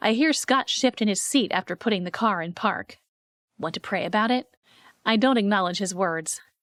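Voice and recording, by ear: With a quiet background, the speech is reading aloud in a natural voice and shows ordinary pitch variation.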